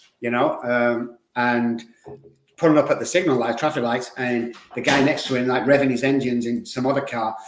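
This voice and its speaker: There is audible room echo as a man talks at a moderate pace and a medium pitch. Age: 60s. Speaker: addiction recovery expert. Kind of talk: podcast interview. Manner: animated.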